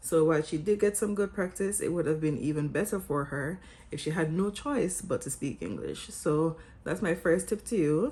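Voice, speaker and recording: A woman in a Jamaican accent, fairly low in pitch, with vocal fry, a dark, mellow tone and ordinary pitch variation. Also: moderate pace. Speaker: vlogger and English teacher. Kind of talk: scripted vlog talk.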